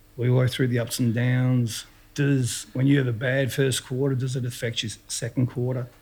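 In an Australian accent, a man talks at a fairly quick pace and medium pitch, his tone dark, mellow and somewhat breathy. His intonation is fairly even, on a very clean recording with a silent background. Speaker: retired footballer. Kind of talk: casual interview.

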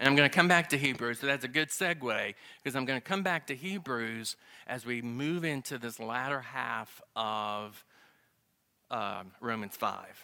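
A man with a Southern US accent speaks at a moderate pace with a medium pitch and ordinary pitch variation. His tone is bright and sharp, and the recording is very clean with a silent background. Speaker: Bible class teacher. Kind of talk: Bible lesson. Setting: church class.

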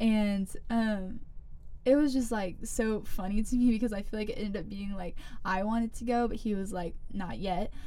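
A woman's fairly high, dark and mellow voice with an American accent, at a moderate pace with ordinary pitch variation, and audible room echo. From US South, South Carolina. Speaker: college student, small group leader. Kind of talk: casual chat.

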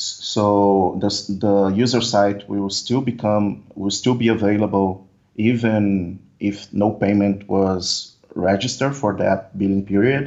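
This man has a fairly low pitch and a Portuguese accent. He talks at a very slow pace. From Brazil. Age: 20s. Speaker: software developer. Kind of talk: interview. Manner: halting.

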